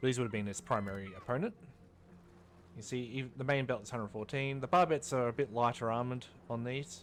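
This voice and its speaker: A man with an Australian accent, medium-pitched with ordinary variation, at a very fast pace. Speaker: gaming YouTuber. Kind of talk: gameplay commentary. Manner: casual, with many fillers and self-corrections.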